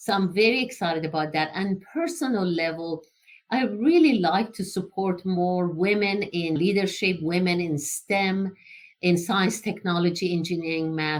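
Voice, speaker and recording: With an Iranian accent, a woman speaks using ordinary pitch variation. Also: medium pitch for a woman, moderate pace. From Iran, Tehran. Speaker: engineering entrepreneur. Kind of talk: interview.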